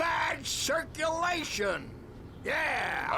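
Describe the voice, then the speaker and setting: A man shouts in a cartoonish character voice. Loud background noise fills the recording. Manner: jovial.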